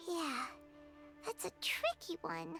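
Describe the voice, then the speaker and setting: Clear music plays in the background behind a squeaky, put-on character voice. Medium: video game. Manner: chatty, reactive.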